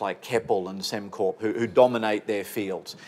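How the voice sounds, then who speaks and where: A man speaks at a moderate pace. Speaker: senior trade commissioner. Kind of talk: conference talk. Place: office. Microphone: lapel.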